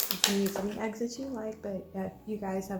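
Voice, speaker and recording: A woman with an American accent at a fairly quick pace, amid noticeable background noise. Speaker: home cooking YouTuber. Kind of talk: cooking tutorial. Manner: casual with many ums.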